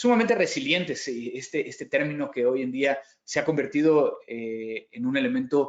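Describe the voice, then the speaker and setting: This man has a Mexican accent and a fairly high pitch. He moves at a moderate pace with ordinary pitch variation. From Mexico. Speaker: cybersecurity company founder, conference speaker. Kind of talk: conference keynote talk. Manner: frequent hesitations and repetitions.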